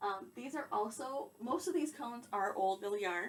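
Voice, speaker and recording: Over noticeable background noise, a woman talks at a moderate pace in a fairly high voice with lively intonation. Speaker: yarn dyer and crafter. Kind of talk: room tour walkthrough. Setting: home yarn room. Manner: casual, self-conscious about volume.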